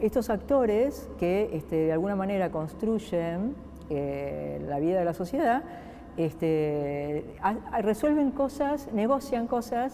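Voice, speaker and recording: Her pitch swinging very widely, a woman talks at a very slow pace. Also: medium pitch for a woman. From Argentina. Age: 50s. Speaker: political scientist, research agency director. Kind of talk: interview. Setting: museum, interview set. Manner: hesitant, many fillers.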